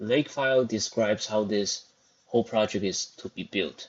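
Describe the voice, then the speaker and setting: At a fairly slow pace, a man with a non-native accent talks with ordinary pitch variation. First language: not English. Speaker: programming tutorial host. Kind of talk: screen-recorded coding tutorial.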